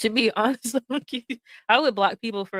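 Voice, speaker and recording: A woman talks in a Southern US accent with ordinary pitch variation. The recording is dry and close, with no echo. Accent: Southern US drawl. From US South. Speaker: streamer. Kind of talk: casual live stream chat. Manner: soothing.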